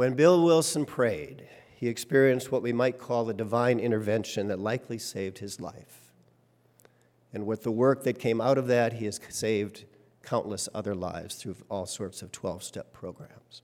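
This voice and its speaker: This man has an ordinary speaking voice at a medium pitch, talking at a moderate pace with ordinary pitch variation and big swings in loudness on a very clean recording with a silent background. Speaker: worship leader. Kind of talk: sermon; poetic reading aloud of a hymn text, devotional. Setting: church. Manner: measured, reverent, lyrical pacing; humorous, conversational, warm.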